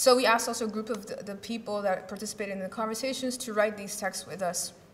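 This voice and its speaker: A woman speaks with fairly even intonation and big swings in loudness, with audible room echo and noticeable background noise. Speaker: symposium speaker, activist. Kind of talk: conference talk. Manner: fast; halting, many fillers and repetitions.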